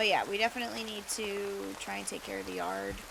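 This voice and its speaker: Noticeable background noise and audible room echo around a female speaker at a moderate pace. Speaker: gaming streamer. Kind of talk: casual chat. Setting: live stream. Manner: chatty, rambling.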